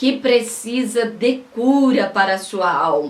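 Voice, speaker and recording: A woman speaks very slowly, her pitch fairly high. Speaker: pastor and preacher. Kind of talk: sermon-style preaching to camera.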